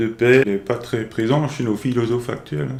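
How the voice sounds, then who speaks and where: A man at a fairly slow pace, with a medium pitch and ordinary pitch variation. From France, Alsace (Munster valley). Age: 60s. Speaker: retired music teacher and conductor. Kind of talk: interview testimony. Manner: halting, with repetitions.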